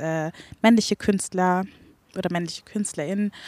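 A woman speaks at a medium pitch with fairly even intonation. She has a normal speaking voice. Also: dry, close sound with no echo, very clean recording, silent background. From Franconia, Fürth. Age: 20s. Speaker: singer. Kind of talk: interview.

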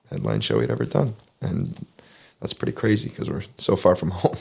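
Here is a man with a Canadian accent and a fairly low pitch. Vocal fry runs through his speech. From southwestern Ontario, Canada. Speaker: singer-songwriter. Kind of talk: interview.

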